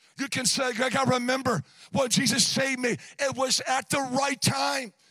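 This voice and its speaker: In a raised, projected voice, a man speaks at an extremely high pitch with a bright, sharp tone. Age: 60s. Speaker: guest preacher. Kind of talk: sermon. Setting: church.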